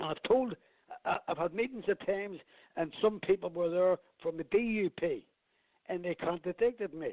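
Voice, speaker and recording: Speaking at a moderate pace in a Belfast accent, a man uses a high pitch with ordinary pitch variation. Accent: Belfast Northern Irish. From Northern Ireland, Belfast. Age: 70s. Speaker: campaigner for inquiry into father's murder. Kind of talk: radio interview.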